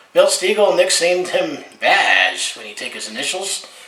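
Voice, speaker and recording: A man keeps a moderate pace while noticeable background noise and audible room echo surround his voice. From Alberta, western Canada. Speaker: sports fan vlogger. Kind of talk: casual game recap monologue. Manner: casual, with frequent fillers.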